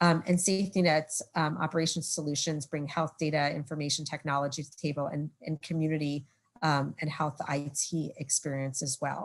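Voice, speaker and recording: A woman with a New York accent and a very deep, low voice, fairly quick in pace and fairly even in intonation. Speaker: presenter from partner nonprofit. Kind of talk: webinar presentation. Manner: fast.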